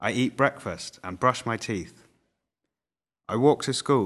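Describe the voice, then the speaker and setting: Against a quiet background, a man with a Mancunian accent speaks very slowly at a medium pitch. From northern England, Manchester. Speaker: language teaching narrator. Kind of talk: reading aloud. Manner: formal.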